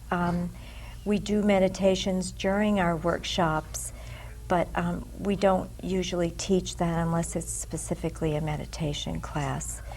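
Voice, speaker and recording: A woman speaks fairly slowly, and room echo can be heard. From US Northeast, Boston. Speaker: psychic healer and teacher. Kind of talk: interview.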